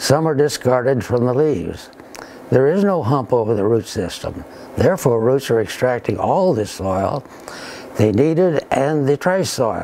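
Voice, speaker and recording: Fairly slow speech from a man, noticeable background noise underneath. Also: medium pitch for a man, lively intonation. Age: 80s+. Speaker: retired engineer and scientist. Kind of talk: scripted presentation. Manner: formal.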